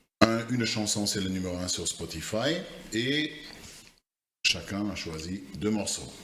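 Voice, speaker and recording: With a non-native accent, the speaker talks very slowly with lively intonation, big swings in loudness and long, frequent pauses. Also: man. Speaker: podcast co-host. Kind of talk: casual chat. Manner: hesitant, many fillers.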